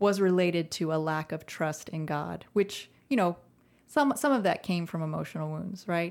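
A woman with an American accent speaks at a moderate pace, in a fairly low pitch with ordinary pitch variation, in an unremarkable speaking voice. The recording is very clean, with a silent background. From Central Texas. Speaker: podcast co-host, ministry founder. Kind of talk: casual chat.

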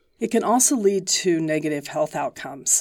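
With a normal speaking voice, a woman talks at a moderate pace and fairly low pitch with lively intonation, in a very clean recording with a silent background. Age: 60s. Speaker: professor. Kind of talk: interview.

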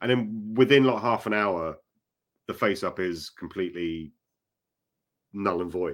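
A man with a British accent and a fairly low pitch speaks at a fairly slow pace, with ordinary pitch variation and long, frequent pauses. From UK. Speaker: author. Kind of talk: casual interview chat. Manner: filler-heavy, hesitant.

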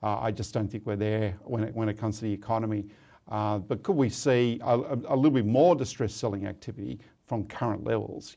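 A man's dark, mellow voice, fairly low in pitch with ordinary variation, with an Australian accent, at a fairly quick pace, over a quiet background. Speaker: property market analyst. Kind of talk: interview.

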